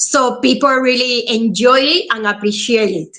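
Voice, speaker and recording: Speaking at a very slow pace, a woman uses a raised, projected voice with a bright, sharp tone. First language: Spanish. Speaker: actress. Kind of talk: casual chat.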